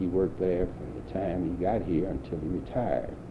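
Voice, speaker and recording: In an American accent, a man with a very deep, low pitch speaks at a moderate pace amid audible room echo. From St. Louis, Missouri. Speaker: war veteran. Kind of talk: 1990s oral history interview, elderly veteran recounting wartime life story. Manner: plain reflective storytelling.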